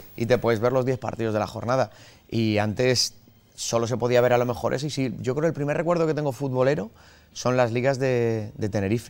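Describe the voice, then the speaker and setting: Using a normal speaking voice at a medium pitch, a man talks at a fairly quick pace. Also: ordinary pitch variation. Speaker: journalist and streamer. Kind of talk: casual chat. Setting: sports bar in a theme park.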